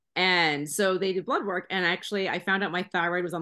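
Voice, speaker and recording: Fairly low in pitch, a woman talks at a fairly quick pace in a plain, everyday voice. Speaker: CBD advocate, mother. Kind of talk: casual interview chat.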